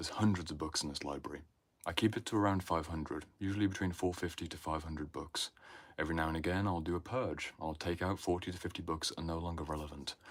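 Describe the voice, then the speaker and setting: The speaker has a British accent and talks at a very fast pace. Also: man, very deep, low pitch for a man. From Britain. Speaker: inner work mentor. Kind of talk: livestream talk. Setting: livestream in home library. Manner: animated.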